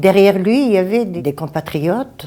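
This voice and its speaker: A woman speaks with a Bulgarian accent at a moderate pace. Her pitch swings very widely. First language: Bulgarian (speaking French). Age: 70s. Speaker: retired midwife. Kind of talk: interview testimony. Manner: halting.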